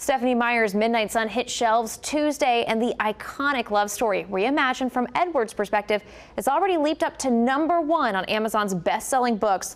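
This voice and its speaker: With an American accent, this is a plain, everyday voice moving at a fairly quick pace with hardly any pauses. Its intonation is lively and its loudness very even. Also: woman, fairly high pitch for a woman. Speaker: TV news anchor and reporter. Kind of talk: studio news anchor delivery.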